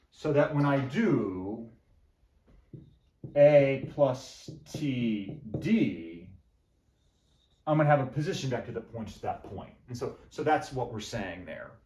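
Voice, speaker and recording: A man's medium-pitched, dark, mellow voice with vocal fry, very slow and full of long, frequent pauses, lively in intonation with big swings in loudness, in audible room echo. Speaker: math professor. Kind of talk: lecture. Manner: animated.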